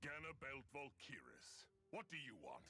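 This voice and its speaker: A man doing a put-on character voice speaks at a moderate pace in a fairly high pitch, with clear background noise behind him. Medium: video game. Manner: domineering, blustering.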